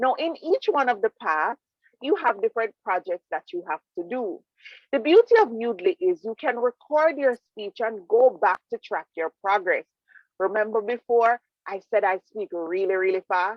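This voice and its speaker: With a Jamaican accent, a woman talks at a moderate pace in a fairly high pitch, her voice making very wide pitch swings. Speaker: public speaking club presenter. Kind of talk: presentation. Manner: animated.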